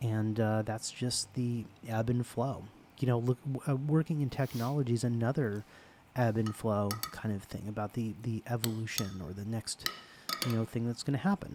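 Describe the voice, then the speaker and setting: Soft-spoken, relaxed delivery at a moderate pace, ordinary pitch variation, over noticeable background noise. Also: man, medium pitch for a man. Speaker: ASMR creator. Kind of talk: soft-spoken ASMR personal attention ramble. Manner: soft-spoken, intimate, relaxed.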